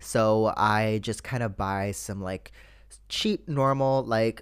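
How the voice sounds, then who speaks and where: On a very clean recording with a silent background, a man with a Canadian accent and an ordinary speaking voice talks at a fairly slow pace, fairly low in pitch, with ordinary pitch variation. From Canada. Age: 20s. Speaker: podcast host. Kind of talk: casual chat.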